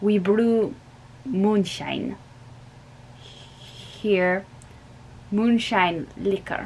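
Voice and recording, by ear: A put-on character voice, female-sounding and shaky, at a medium pitch with a very slow pace, long and frequent pauses, and clear background noise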